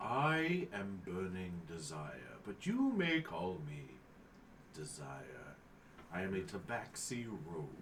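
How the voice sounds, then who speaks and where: A put-on character voice speaks at a fairly slow pace. Clear background noise runs underneath. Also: man, very deep, low pitch for a man. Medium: actual play.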